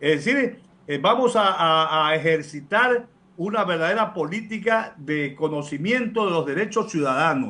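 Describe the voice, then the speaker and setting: A man's high-pitched voice, bright and sharp in tone, with lively intonation at a fairly slow pace. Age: 60s. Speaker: lawyer and law professor, public council member. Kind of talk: radio interview. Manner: formal.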